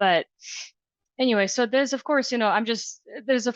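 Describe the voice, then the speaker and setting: This woman speaks with a Russian accent and lively intonation. The sound is dry and close with no echo, against a quiet background. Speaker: HR director. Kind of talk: podcast interview. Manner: hesitant, many fillers.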